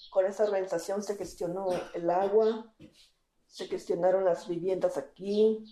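At a fairly slow pace, a woman with a medium pitch and a dark, mellow tone speaks in a monotone, flat way. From Mexico, Baja California (Mixtec family from Guerrero). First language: Mixtec (Tu'un Savi) (speaking Spanish). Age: 20s. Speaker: interpreter and community activist. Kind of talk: interview testimony.

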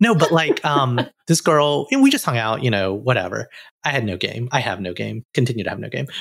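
Here is a man with an ordinary speaking voice and medium pitch. His intonation is lively and his pace fairly quick. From US South, Alabama. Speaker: podcast co-host. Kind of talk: casual interview.

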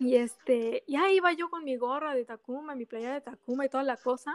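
With music in the background, a woman speaks at a high pitch and a fairly slow pace. Her pitch variation is ordinary, and the sound is dry and close with no echo. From Mexico and Japan. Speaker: motorsport fan. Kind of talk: casual chat.

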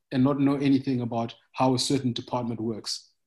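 Somewhat breathy and at medium pitch, a man speaks at a moderate pace. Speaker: agritech startup founder. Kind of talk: podcast interview.

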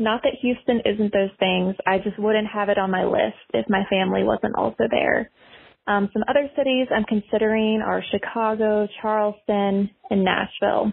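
Her voice is an unremarkable speaking voice, fairly high in pitch. The woman talks at a moderate pace with fairly even intonation. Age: 20s. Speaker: listener leaving a voicemail. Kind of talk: voicemail question. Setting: phone voicemail.

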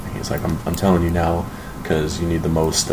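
A man with an American accent speaks at a very deep, low pitch amid noticeable background noise and audible room echo. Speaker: amateur rapper. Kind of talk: casual chat. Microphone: poor recording quality.

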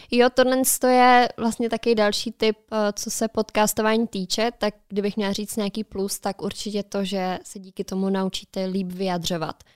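The sound is dry and close with no echo, a very clean recording with a silent background, as a woman of medium pitch speaks at a moderate pace with fairly even intonation. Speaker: podcast co-host. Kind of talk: casual chat. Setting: studio.

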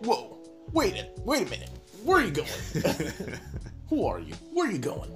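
Over clear music in the background, a put-on character voice moves at a moderate pace with long, frequent pauses. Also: man, extremely high pitch for a man. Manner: stilted game voice acting.

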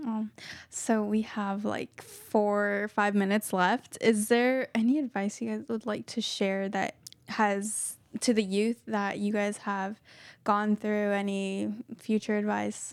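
At a very slow pace, a woman speaks with monotone, flat intonation and medium pitch on a very clean recording with a silent background. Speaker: student radio co-host. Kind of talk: casual interview.

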